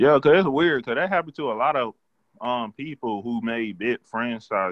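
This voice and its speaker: A man with a plain, everyday voice talks at a moderate pace, his medium pitch carried by lively intonation. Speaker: podcast co-host. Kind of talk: casual chat.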